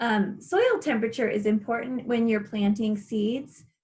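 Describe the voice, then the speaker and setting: A woman speaks in an ordinary speaking voice at a fairly high pitch. Her pace is moderate, with ordinary pitch variation. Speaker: gardening class instructor. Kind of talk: online class presentation.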